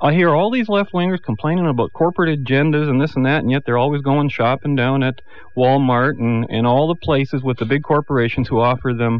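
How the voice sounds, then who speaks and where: A man with a Canadian accent and a normal speaking voice talks at a fairly quick pace, medium in pitch and with lively intonation. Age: 50s. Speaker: political commentator. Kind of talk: radio panel debate.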